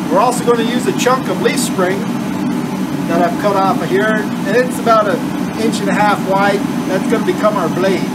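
Loud background noise under a fairly quick pace of speech. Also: man. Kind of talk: tutorial. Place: workshop. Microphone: camera far.

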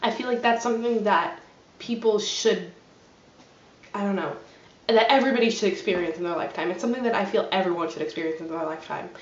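A woman with an American accent talks at a very fast pace, broken by long, frequent pauses, with audible room echo around her. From New Jersey. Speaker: vlogger. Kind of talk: casual vlog monologue; casual vlog chat. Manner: hesitant, many fillers. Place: home room. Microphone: webcam.

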